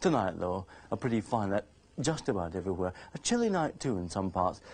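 Here a man talks at a fairly quick pace. His tone is slightly mellow.

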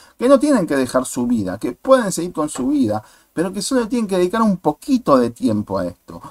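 A man speaks at a moderate pace with a fairly high pitch and very wide pitch swings. The recording is very clean and dry, with a close sound, no echo and a silent background. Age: 40s. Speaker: YouTuber, political commentator. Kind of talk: video commentary monologue.

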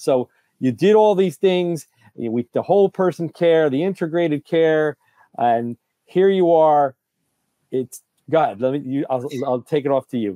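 A man's fairly high pitch and dark, mellow tone, with lively intonation at a moderate pace in a dry, close sound with no echo

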